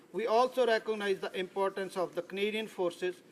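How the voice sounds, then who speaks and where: A man speaks with a Punjabi accent. His pitch is high. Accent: Indian Punjabi. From India, Punjab. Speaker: politician. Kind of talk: parliamentary speech. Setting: legislative chamber. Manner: formal.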